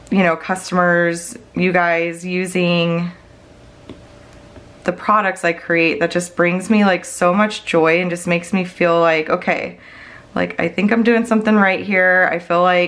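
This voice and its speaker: In an American accent, a woman with a fairly low pitch speaks at a fairly slow pace with monotone, flat intonation. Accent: slight Wisconsin accent, pops up occasionally. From Wisconsin. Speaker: budgeting YouTuber and planner seller. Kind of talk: casual tutorial vlog. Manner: chatty, many fillers.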